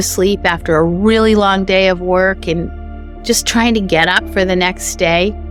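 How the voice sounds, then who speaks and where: With music in the background, a woman speaks at a medium pitch with fairly even intonation. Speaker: clinical hypnotherapist. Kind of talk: educational talk to camera about sleep and anxiety.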